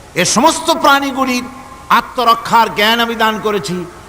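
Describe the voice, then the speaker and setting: The voice is raised and projected, with ordinary pitch variation, over noticeable background noise. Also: man. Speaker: Islamic preacher. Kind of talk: religious sermon to a live audience.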